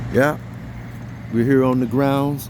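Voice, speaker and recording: Amid audible room echo, a man talks fairly quickly at a medium pitch with monotone, flat intonation. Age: 50s. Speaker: YouTube commentator. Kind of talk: casual vlog commentary. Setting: outdoors at night. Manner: unscripted, repetitive.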